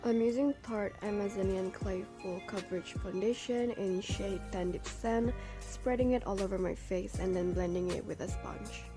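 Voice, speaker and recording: A woman at a moderate pace, with music playing in the background. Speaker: makeup artist. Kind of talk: makeup tutorial voice-over.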